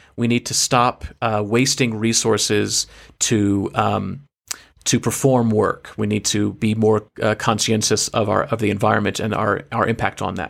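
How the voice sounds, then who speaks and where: At a moderate pace, a man talks in a normal speaking voice, fairly low in pitch, with fairly even intonation. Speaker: theater director and podcast host. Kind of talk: casual conversation. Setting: video call, recorded remotely.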